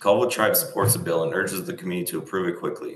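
A man with an American accent is heard with audible room echo. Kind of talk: testimony. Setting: congressional committee hearing. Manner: formal.

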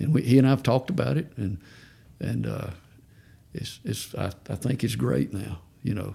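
A man with a Southern US accent, a dark, mellow tone, vocal fry, very wide pitch swings and long, frequent pauses. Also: moderate pace. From Georgia. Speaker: parent of recovering addict. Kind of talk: testimony.

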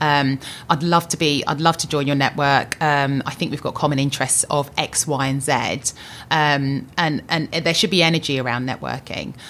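A woman with a southern English accent speaks at a moderate pace in a very deep, low pitch, her intonation monotone and flat. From southern England (Luton). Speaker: insurance executive. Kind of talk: interview.

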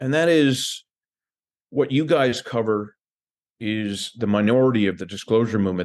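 Against a quiet background, a man with an American accent talks at a moderate pace in a plain, everyday voice, medium in pitch with lively intonation. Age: 60s. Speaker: UFO disclosure advocate. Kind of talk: casual interview chat.

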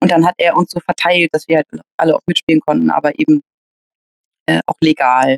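A woman with a fairly low pitch talks at a fairly quick pace in a dry, close sound with no echo. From Hamburg, northern Germany. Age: 30s. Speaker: table football player and organizer. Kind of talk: interview, casual chat. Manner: hesitant, many filler sounds.

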